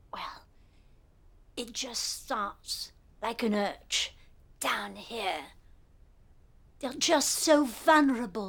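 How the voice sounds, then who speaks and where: A female-sounding put-on character voice, fairly high in pitch, at a very slow pace with long, frequent pauses. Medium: comedy sketch. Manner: furtive, creepy.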